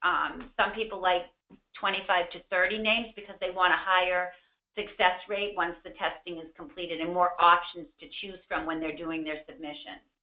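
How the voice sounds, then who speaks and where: Her pitch sits in the medium range, with fairly even intonation at a moderate pace. This woman's voice shows big swings in loudness. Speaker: medication safety consultant, former pharmacist. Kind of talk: webinar presentation. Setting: online webinar. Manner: hesitant fillers.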